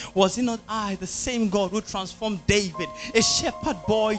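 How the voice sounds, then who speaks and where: The delivery moves at a moderate pace. Music plays in the background. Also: man. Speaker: spoken word artist. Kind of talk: spoken word poetry performance. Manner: intense, dramatic.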